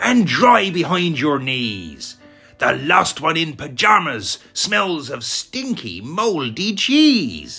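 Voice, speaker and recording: A man puts on a character voice, fairly high-pitched and very slow. Faint music sits in the background. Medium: read story. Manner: boisterous, teasing.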